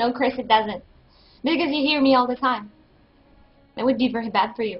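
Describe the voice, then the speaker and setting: Faint music plays in the background as the voice moves at a fairly quick pace. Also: woman, high pitch for a woman. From New Brunswick, Canada (French Canadian). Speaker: streamer playing a game. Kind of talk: casual live-stream chat while gaming. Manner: animated. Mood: playful, laughing. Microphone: headset.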